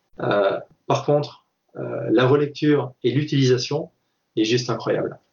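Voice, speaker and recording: A somewhat breathy man with a fairly high pitch and ordinary pitch variation. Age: 40s. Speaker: ultra-trail runner and triathlete. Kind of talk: casual interview. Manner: hesitant, with many fillers.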